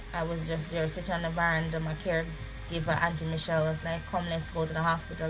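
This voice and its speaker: A woman is speaking with music playing behind her. The room echo is audible. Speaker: vlogger sharing illness journey. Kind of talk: personal testimony.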